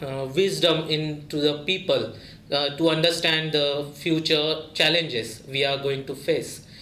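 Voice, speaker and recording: A man with an Indian accent talks at a fairly slow pace in a fairly high pitch for a man. Room echo is audible, and background noise is noticeable. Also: fairly even intonation. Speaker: graduate student. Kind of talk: interview testimony. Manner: halting, many filler sounds.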